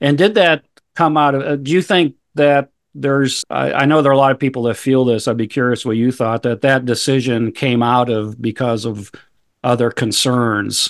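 An ordinary speaking voice comes through with ordinary pitch variation. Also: man, medium pitch for a man, moderate pace. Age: 60s. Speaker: podcast host and ministry director. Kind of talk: casual interview conversation.

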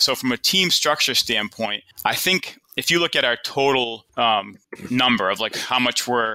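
At a moderate pace, a man with a Boston accent speaks in a bright, sharp tone at a medium pitch with ordinary variation. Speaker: financial advisor and firm co-owner. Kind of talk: casual interview conversation. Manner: conversational, informal.

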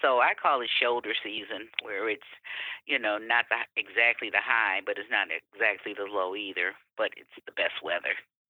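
A woman with an American accent, moderate pace, and big swings in loudness. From Detroit, Michigan. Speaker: tourism marketing officer. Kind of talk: interview.

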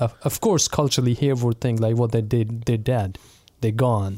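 A man speaks in a Pakistani Punjabi accent. His tone is dark and mellow. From Pakistan, Punjab (Multan). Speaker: associate pastor. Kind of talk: casual chat.

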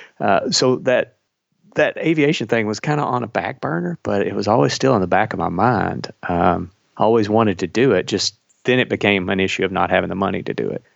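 A man with a Kentucky accent, fairly low pitch and lively intonation. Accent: Kentucky Southern US. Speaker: airline pilot. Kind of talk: casual interview. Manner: warm, enthusiastic.

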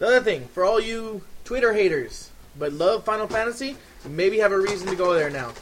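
Over noticeable background noise, a man speaks in a high pitch. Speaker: podcast host. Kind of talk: casual chat.

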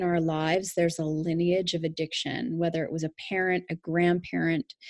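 Against a quiet background, a woman speaks in an ordinary speaking voice with a fairly low pitch. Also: dry, close sound with no echo. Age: 40s. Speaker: life coach. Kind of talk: interview.

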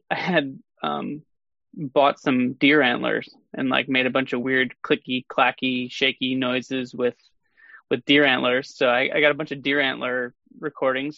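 A man with an American accent has a normal speaking voice at medium pitch, using fairly even intonation at a moderate pace. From Sheboygan, Wisconsin. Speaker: film composer. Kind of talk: casual chat.

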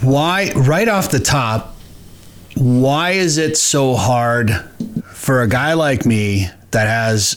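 A man talks with lively intonation while noticeable background noise is heard. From Minnesota. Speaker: podcast host. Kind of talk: casual interview chat with ad reads.

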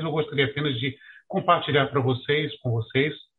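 Fairly high in pitch, a man has a normal speaking voice and fairly even intonation. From Rio de Janeiro, Brazil. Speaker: retired federal judge. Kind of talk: webinar presentation.

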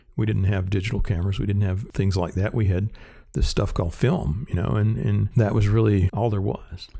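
A man with a Southern US accent talks at a fairly quick pace, his fairly low voice dark, mellow, and somewhat breathy, with ordinary pitch variation. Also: very even loudness. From US South, rural South Carolina. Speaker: cinematographer, former Steadicam operator. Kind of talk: interview.

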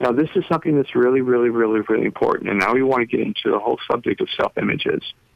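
A man talks at a very fast pace with very even loudness. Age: 70s. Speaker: author and brain-science educator. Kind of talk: interview.

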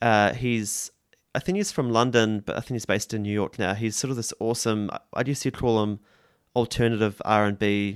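Speech comes at a moderate pace in a New Zealand accent, with fairly even intonation. The recording is very clean, with a silent background. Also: man. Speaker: musician. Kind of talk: interview.

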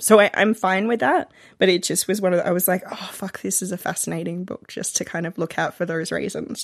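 In an Australian accent with vocal fry, someone speaks at a fairly quick pace with hardly any pauses, on a very clean recording with a silent background and a dry, close sound with no echo. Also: woman, medium pitch for a woman, ordinary pitch variation. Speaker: romance reader, podcast guest. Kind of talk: casual chat.

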